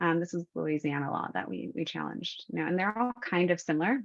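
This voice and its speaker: Speech from a woman with a fairly low pitch. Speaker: attorney and webinar speaker. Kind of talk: presentation. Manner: fast.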